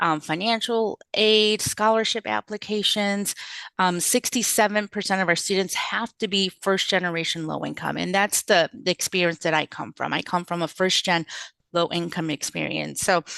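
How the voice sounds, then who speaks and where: Speaking with a non-native accent at a moderate pace, a woman uses a medium pitch, fairly even intonation and a bright, sharp tone, in a dry, close sound with no echo over a quiet background. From US Midwest, Chicago area, immigrant family. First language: not English. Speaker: social work professor. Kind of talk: interview.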